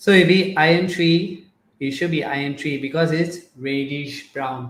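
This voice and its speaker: This man's voice sits fairly high and sounds somewhat breathy. He talks at a fairly slow pace with fairly even intonation. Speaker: chemistry tutor. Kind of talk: live online tutorial. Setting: Facebook live stream.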